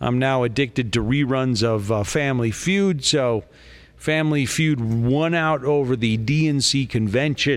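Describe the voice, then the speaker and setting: In an unremarkable speaking voice, the speaker goes at a fairly slow pace with very even loudness on a very clean recording with a silent background. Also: man, medium pitch for a man, ordinary pitch variation. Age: 50s. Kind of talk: casual chat.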